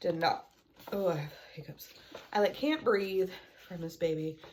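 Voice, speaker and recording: The woman's voice is fairly low in pitch. Background noise is noticeable throughout. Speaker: homeschooling mom and homesteader vlogger. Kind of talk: casual tutorial show-and-tell. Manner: casual with filler words.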